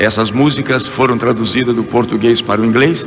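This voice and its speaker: Against music in the background and audible room echo, a man talks fairly quickly at a medium pitch with fairly even intonation. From Brazil, Rio de Janeiro. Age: 60s. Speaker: evangelical singer and preacher. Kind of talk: testimony interview.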